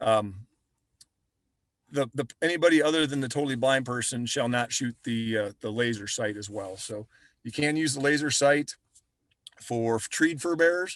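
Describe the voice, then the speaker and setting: Ordinary pitch variation in a man's speech. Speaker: trapping instructor. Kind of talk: webinar presentation. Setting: online webinar. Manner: fast; halting.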